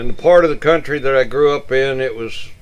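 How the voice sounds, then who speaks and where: A man talks with an East Texas accent. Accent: East Texas Southern US. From Northeast Texas. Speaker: community elder. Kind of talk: storytelling.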